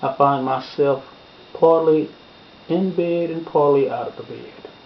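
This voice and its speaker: Over noticeable background noise, a man talks very slowly at a fairly high pitch with ordinary pitch variation. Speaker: preacher. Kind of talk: personal testimony, sermon-style storytelling.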